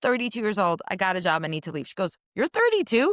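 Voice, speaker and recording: A woman's animated voice with a slight Israeli accent, very wide pitch swings and a fairly quick pace, in a dry, close sound with no echo. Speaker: career changer, business coach. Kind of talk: interview.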